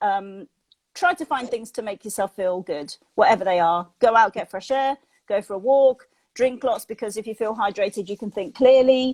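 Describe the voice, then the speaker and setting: A woman speaks at a fairly high pitch with ordinary pitch variation. The recording is very clean with a silent background, the sound dry and close with no echo. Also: moderate pace. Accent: British. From Britain. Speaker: mindset and positivity coach. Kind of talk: interview.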